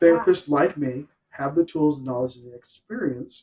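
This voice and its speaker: A man's somewhat breathy, dark and mellow voice, fairly high in pitch, at a fairly quick pace. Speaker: podcast host, real estate professional. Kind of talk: interview podcast host talk. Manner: upbeat.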